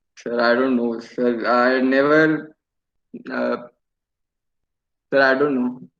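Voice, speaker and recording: With audible room echo, a man speaks very slowly at a medium pitch in a monotone, flat voice, with long, frequent pauses. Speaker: engineering student. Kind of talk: mock job interview. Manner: halting.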